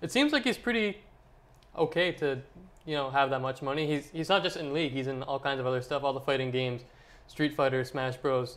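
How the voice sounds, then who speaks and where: With an American accent, a man speaks at a fairly high pitch and ordinary pitch variation. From US South. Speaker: esports show co-host. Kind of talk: casual chat.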